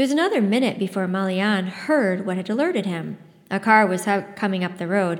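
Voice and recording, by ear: A passage is read aloud in a natural voice.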